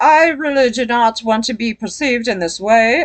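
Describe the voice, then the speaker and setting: A female-sounding voice puts on a character voice at a high pitch. The pace is moderate. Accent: British. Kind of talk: posh, precise. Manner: pompous, overly articulate.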